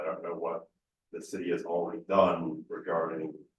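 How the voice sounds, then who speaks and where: A booming man's voice with audible room echo. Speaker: council applicant. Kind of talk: interview. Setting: council chambers.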